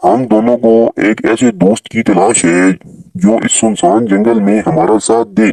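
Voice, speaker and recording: A man's cartoonish character voice at medium pitch. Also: moderate pace. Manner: earnest, advising.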